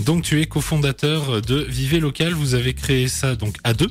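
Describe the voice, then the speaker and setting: With music in the background, a man speaks at a very slow pace in a medium pitch. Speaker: radio host. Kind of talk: radio interview questions.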